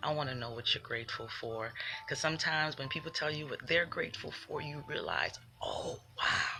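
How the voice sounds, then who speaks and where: A soft-spoken woman amid noticeable background noise. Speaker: spiritual livestreamer. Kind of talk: livestream motivational talk. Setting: live video stream. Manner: animated.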